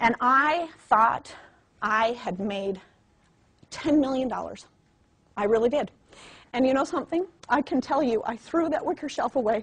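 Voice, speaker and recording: In a high pitch, a woman speaks with lively intonation and an animated tone. She takes long, frequent pauses. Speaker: network marketing trainer. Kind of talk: motivational training talk. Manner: fast.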